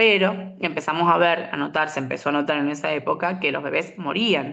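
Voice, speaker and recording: A woman talks with a fairly low pitch. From Argentina, San Luis. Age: 30s. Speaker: molecular biologist, researcher. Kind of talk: interview.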